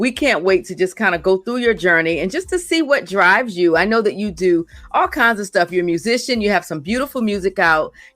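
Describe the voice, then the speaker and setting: Over music in the background, a woman speaks at a fairly quick pace in an upbeat, warm tone. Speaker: radio show host. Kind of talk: radio interview hosting.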